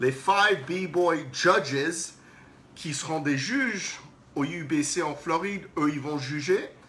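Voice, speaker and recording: Amid audible room echo and noticeable background noise, a man with a non-native accent speaks at a very slow pace in a fairly high pitch with ordinary pitch variation. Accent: non-native French, self-described as horrible. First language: English (speaking French). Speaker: breakdance event organizer. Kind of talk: live stream announcement. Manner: halting, repeats words.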